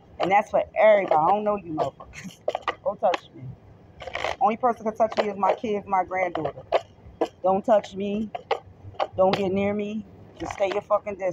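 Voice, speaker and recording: The delivery is fairly quick, and the sound is dry with no echo. Loud background noise runs throughout. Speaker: tarot vlogger. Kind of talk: casual vlog rant. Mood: irritated, emphatic. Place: street. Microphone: phone near.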